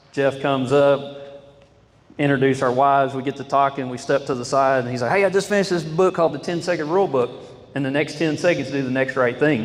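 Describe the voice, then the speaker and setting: Very fast speech from a man with an American accent, ordinary pitch variation and noticeable background noise. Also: fairly high pitch for a man. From Oklahoma. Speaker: oilfield sales rep giving a talk. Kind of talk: testimony. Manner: loud.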